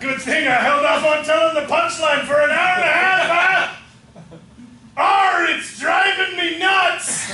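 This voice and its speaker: Shouting in a put-on character voice at an extremely high pitch, a man goes at a fairly slow pace with long, frequent pauses and a slight echo. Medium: stage play. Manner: loud, bellowing.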